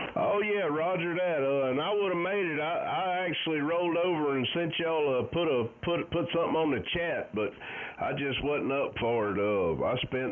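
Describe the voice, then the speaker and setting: A moderate pace with lively intonation, in a Southern US accent. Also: man. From US South, Alabama Gulf Coast. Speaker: amateur radio operator. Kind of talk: casual chat. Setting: radio contact.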